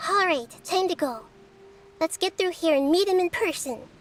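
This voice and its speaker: This put-on character voice sits at an extremely high pitch and moves at a moderate pace. Its tone is calm. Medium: video game. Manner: calm, measured.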